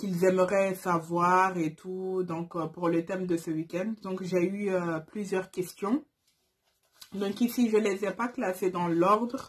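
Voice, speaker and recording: Somewhat breathy speech at a very slow pace, with fairly even intonation. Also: woman, medium pitch for a woman. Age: 20s. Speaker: YouTuber, turban stylist. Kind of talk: casual vlog Q&A. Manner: hesitant, many fillers.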